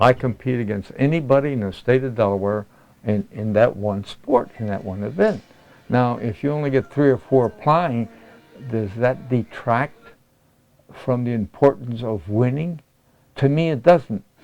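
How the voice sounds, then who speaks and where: Over music in the background, a man speaks at a moderate pace with a medium pitch and ordinary pitch variation. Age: 80s+. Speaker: senior athlete, weightlifter. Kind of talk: interview answer.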